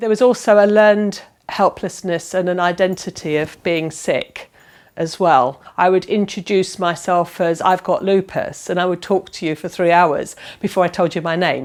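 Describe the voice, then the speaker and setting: At a moderate pace, a woman with an ordinary speaking voice talks at a medium pitch with fairly even intonation on a very clean recording with a silent background. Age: 50s. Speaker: patient with lupus, former army nurse. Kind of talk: personal testimony.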